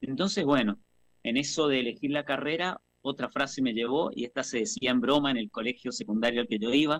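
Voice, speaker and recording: Recorded with a dry, close sound and no echo, a man speaks at a fairly quick pace in a plain, everyday voice, medium in pitch with ordinary pitch variation. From Argentina, Mendoza. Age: 50s. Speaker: actor and theatre teacher. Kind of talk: radio interview, personal life story.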